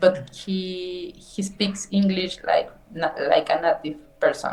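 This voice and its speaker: A woman with a Mexican accent. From Mexico. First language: Spanish. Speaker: nutrition scientist, English learner. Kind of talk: English lesson conversation. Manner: slow, halting.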